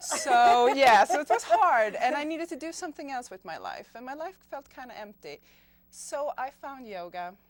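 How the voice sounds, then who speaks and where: Speaking at a moderate pace with a Swedish accent, a woman has a high pitch, very wide pitch swings, and big swings in loudness. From Sweden. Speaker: yoga teacher. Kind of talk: interview.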